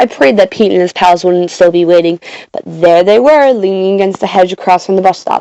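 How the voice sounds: The clip has a natural reading voice. It is read aloud throughout.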